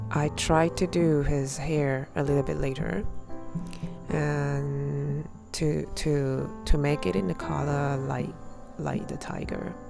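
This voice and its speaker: A woman talks very slowly. Behind her, music can be heard. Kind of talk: casual voice-over narration of a drawing process. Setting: home recording with new microphone. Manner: hesitant, many fillers.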